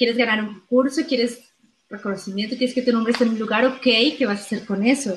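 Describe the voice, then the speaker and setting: A woman talks very fast in a fairly high voice, her intonation fairly even. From Colombia. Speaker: actress and comedian. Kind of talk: interview.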